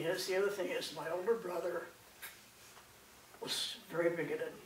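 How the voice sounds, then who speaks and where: Amid noticeable background noise and audible room echo, a woman speaks with ordinary pitch variation. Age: 60s. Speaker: speaker sharing her coming-out story. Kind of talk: personal testimony talk. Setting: presentation at a conference. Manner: halting, with many fillers and repetitions.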